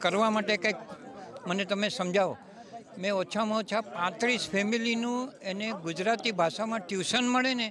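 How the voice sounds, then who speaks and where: Over noticeable background noise, a man with a high pitch talks with fairly even intonation. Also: dry sound with no echo. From India. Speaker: event attendee, Gujarati language promoter; guest, newspaper reader. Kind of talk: vox pop interview. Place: hall. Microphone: handheld.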